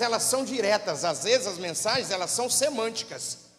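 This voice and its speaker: A man talks with a São Paulo interior accent at a moderate pace. His pitch swings very widely. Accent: rural São Paulo interior accent (caipira). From interior of São Paulo state, Brazil. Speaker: pastor. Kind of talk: sermon.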